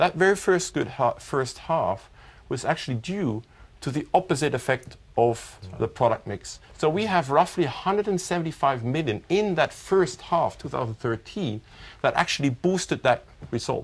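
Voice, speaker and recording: The man's lively intonation and somewhat breathy voice come at a moderate pace. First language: not English. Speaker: chief financial officer. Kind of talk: corporate results briefing.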